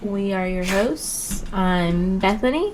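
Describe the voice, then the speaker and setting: A woman talks over noticeable background noise. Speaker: podcast co-host. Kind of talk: casual chat. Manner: soft-spoken; mellow.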